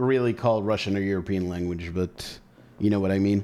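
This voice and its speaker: A man with an Israeli accent speaks with ordinary pitch variation. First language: Hebrew. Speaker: gaming streamer. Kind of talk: live gameplay commentary with chat. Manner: casual, conversational.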